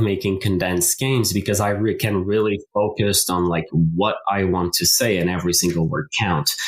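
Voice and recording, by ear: Pitched low, a man speaks at a moderate pace with fairly even intonation.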